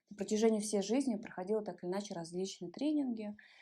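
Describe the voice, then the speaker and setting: The voice belongs to a woman. It carries a dark, mellow tone. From Ulan-Ude, Buryatia, Russia. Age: 30s. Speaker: body-oriented psychologist. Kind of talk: interview answer.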